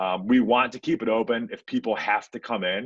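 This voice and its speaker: Lively intonation marks this man's speech. His pitch is medium. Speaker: real estate office leader. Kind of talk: office meeting presentation. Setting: video call. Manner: hesitant with fillers; fast.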